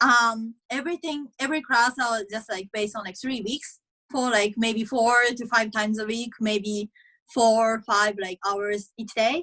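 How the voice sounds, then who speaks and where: A woman with a Japanese accent, fairly high pitch, fairly even intonation and a fairly slow pace. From Japan, Aichi. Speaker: college tennis player. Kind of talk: interview.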